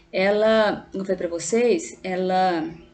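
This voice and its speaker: Audible room echo accompanies a woman speaking at medium pitch. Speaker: teacher. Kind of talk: lecture. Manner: halting.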